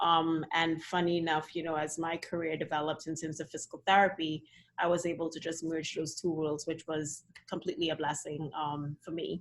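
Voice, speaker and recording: In a Trinidadian accent, the voice runs at a fairly quick pace with monotone, flat intonation. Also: woman, fairly low pitch for a woman. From Trinidad and Tobago. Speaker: dance physical therapist. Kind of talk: casual interview chat. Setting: video call.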